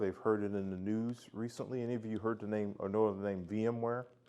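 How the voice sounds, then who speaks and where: A man with an unremarkable speaking voice, fairly low in pitch, at a fairly quick pace with fairly even intonation over a quiet background. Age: 60s. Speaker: tech industry veteran presenter. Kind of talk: self-introduction talk to club audience.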